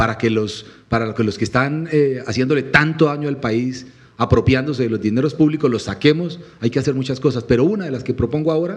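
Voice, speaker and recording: At a fairly quick pace, a man talks in an animated tone at a medium pitch with ordinary pitch variation. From Colombian Llanos (Meta, Villavicencio area). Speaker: presidential candidate. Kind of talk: panel interview.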